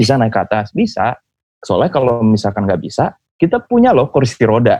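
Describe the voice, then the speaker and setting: His pitch sits in the medium range for a man. This man talks at a fairly quick clip. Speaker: podcast host. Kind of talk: casual chat between friends. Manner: animated, laughs a lot.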